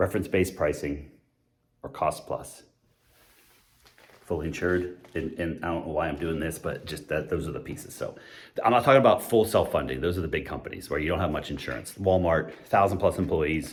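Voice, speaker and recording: Using a very deep, low pitch, a man speaks at a fairly quick pace in a somewhat breathy, animated tone with lively intonation. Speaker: employee benefits consultant. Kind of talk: whiteboard explainer talk. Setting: empty office building basement. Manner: fast.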